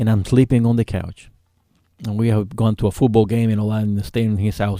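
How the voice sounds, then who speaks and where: In a very clean recording with a silent background and a dry, close sound with no echo, a man with a Spanish accent speaks very fast at a fairly low pitch, his tone dark and mellow and his intonation flat and monotone. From Cuba. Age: 50s. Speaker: author and Navy veteran. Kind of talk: radio interview. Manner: halting, many fillers.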